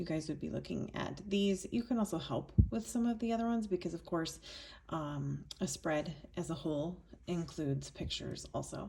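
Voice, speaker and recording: A woman speaks at a moderate pace. Her voice is quiet. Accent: American. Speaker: yearbook adviser teacher. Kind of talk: tutorial. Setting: at home, screen recording.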